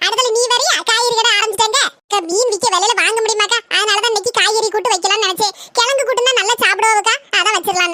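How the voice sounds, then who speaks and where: In a cartoonish character voice, a woman speaks at an extremely high pitch and a fairly quick pace. Her loudness stays very even and her intonation fairly even. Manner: chatty, complaining.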